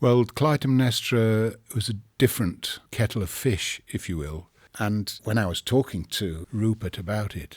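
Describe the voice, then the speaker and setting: At a fairly slow pace, a man with a fairly low pitch speaks with an English accent. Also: ordinary pitch variation, very clean recording, silent background. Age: 60s. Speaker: storyteller. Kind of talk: interview. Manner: hesitant.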